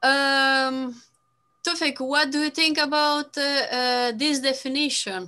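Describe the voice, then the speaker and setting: Raising and projecting her voice, a woman speaks at a very slow pace in a high pitch, with a bright, sharp tone, fairly even intonation and very even loudness. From Moldova. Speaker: business and NLP coach, live stream host; NLP coach, live stream host. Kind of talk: casual live-streamed video interview. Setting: video call. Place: home room. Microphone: earbuds.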